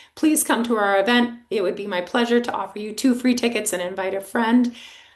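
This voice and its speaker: A woman talks at a fairly quick pace in a fairly high pitch, with ordinary pitch variation and noticeable background noise. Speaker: fundraising consultant. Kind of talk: webinar presentation.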